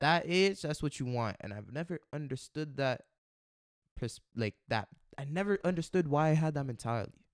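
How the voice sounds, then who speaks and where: A man has an ordinary speaking voice, fairly high in pitch, with lively intonation at a moderate pace. The sound is dry and close with no echo, a very clean recording with a silent background. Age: young. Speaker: podcast guest sharing his life story. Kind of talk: casual interview conversation.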